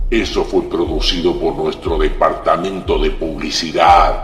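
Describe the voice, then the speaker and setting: In a guttural, put-on character voice at a moderate pace, the speaker comes through with a slight echo and clear background noise. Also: man, extremely high pitch for a man. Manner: growling.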